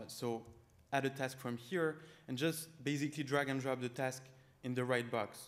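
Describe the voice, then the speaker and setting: Speaking with a strong French accent, a man keeps a moderate pace, a medium pitch and fairly even intonation. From France. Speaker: startup founder. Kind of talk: startup pitch with live demo.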